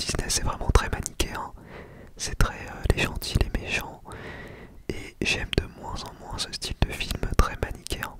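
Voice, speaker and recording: A man whispers at a fairly slow pace. Noticeable background noise can be heard. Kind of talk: ASMR talk to camera. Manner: whispered, very close to the microphone, casual.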